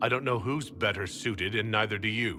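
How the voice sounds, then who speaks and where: A man growls in a put-on character voice, fairly low in pitch, at a fairly quick pace. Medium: video game.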